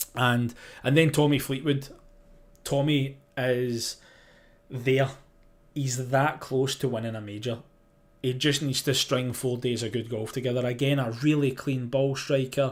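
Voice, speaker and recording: A man with a Scottish accent at a medium pitch, flat and monotone, fairly slow with long, frequent pauses, on a very clean recording with a silent background. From Scotland. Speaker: sports journalist, golf podcast host. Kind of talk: live podcast preview chat. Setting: live stream. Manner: casual, hesitant with fillers.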